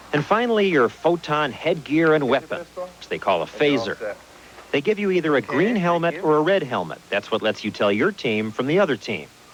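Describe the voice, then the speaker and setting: Over noticeable background noise, a man talks at a fairly quick pace, his fairly high pitch swinging very widely. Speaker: TV consumer correspondent. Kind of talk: TV news report narration.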